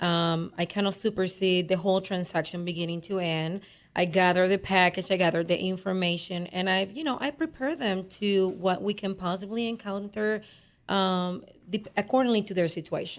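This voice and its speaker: This woman has a Spanish accent and a medium pitch, with ordinary pitch variation. She talks at a moderate pace in a very clean recording with a silent background. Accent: noticeable Spanish. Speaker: real estate agent. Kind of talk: radio interview.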